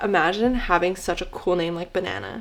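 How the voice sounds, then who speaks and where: A woman talks at a fairly quick pace with ordinary pitch variation. Noticeable noise sits in the background. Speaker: book vlogger. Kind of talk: casual vlog. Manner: animated.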